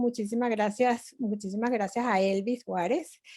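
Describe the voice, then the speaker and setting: A woman with a Venezuelan accent. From Venezuela (Altos Mirandinos, near Caracas). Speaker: artist. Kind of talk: online presentation talk.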